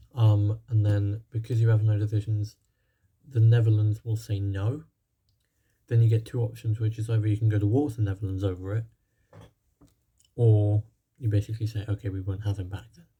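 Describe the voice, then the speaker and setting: A man with a fairly low pitch talks at a fairly quick pace in a flat monotone, his tone dark and mellow and somewhat breathy, with long, frequent pauses. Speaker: gaming YouTuber. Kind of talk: gameplay commentary. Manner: fast; hesitant, many fillers.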